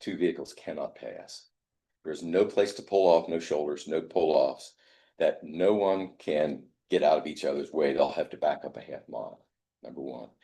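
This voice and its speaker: A man with an American accent at a moderate pace, with big swings in loudness. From southeastern Indiana. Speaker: resident speaking at public meeting. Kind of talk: public comment at county meeting. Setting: county board meeting.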